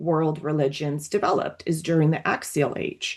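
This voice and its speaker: Moderate pace with a Russian accent. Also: woman. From Latvia, emigrated to US at age 11. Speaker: psychoanalyst. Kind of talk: group discussion. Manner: hesitant, many fillers and restarts.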